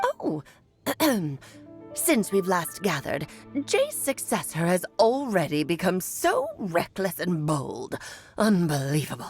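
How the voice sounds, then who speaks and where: A put-on character voice at a fairly slow pace with long, frequent pauses, over faint music in the background. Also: female-sounding voice, medium pitch for a woman. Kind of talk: formal, archaic. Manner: scolding.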